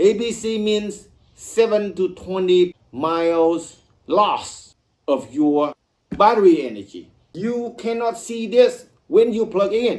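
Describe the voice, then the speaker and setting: Speaking at a very slow pace, a man with a high voice uses lively intonation. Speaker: EV owner YouTuber. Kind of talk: casual explainer video.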